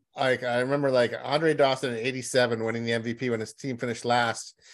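An ordinary speaking voice from a man at a medium pitch, fairly even intonation, very clean recording with a silent background. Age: 50s. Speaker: sports journalist. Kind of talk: casual interview.

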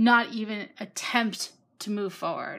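A woman at medium pitch with monotone, flat intonation. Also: very clean recording, silent background. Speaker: caller. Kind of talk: casual chat.

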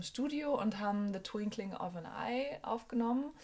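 At a fairly slow pace, a woman speaks in a fairly high pitch, somewhat breathy, with ordinary pitch variation. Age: 30s. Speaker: musician and songwriter. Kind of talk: casual chat.

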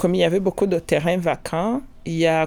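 A woman's fairly low pitch and dark, mellow tone, with ordinary pitch variation. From Rwanda. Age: 50s. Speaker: scientific professional and entrepreneur. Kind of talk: personal testimony.

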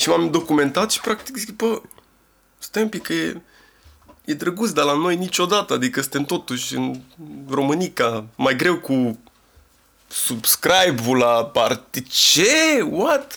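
A man speaks at a very slow pace with long, frequent pauses. His fairly high pitch moves in very wide swings. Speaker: rapper. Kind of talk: casual chat. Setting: studio.

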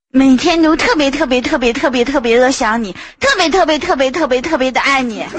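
A woman talks at a fairly quick pace in a high voice. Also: ordinary pitch variation. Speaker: caller. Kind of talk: casual chat. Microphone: echo.

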